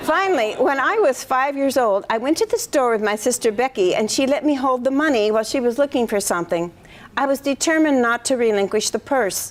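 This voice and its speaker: Speaking at a fairly quick pace, a woman with a West Coast US accent uses a high pitch and lively intonation while keeping her loudness very even. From US Pacific Northwest, eastern Washington. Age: 60s. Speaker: retiring math professor. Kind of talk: retirement lecture. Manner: formal.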